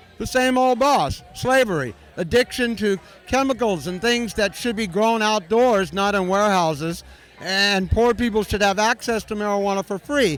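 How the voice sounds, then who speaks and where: A man with an American accent speaks at a moderate pace in a high voice. Background noise is noticeable. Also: ordinary pitch variation. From US West Coast, San Francisco. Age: 60s. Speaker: cannabis activist. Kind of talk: interview. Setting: convention floor with music.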